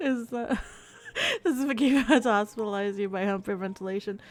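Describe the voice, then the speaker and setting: A woman speaks at a moderate pace while noticeable background noise carries on. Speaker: vtuber game streamer. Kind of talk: reading game text aloud; casual chat with stream viewers. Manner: breathing heavily.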